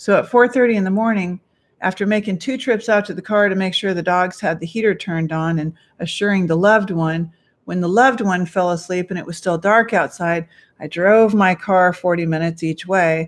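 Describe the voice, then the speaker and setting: A woman speaks at a fairly quick pace with a medium pitch and ordinary pitch variation against a quiet background. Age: 50s. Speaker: dog care vlogger. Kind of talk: casual vlog monologue.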